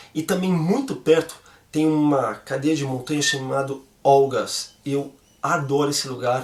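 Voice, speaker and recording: A man speaks at a moderate pace in a fairly high, somewhat breathy voice with ordinary pitch variation. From Brazil. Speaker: vlogger. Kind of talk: casual vlog Q&A.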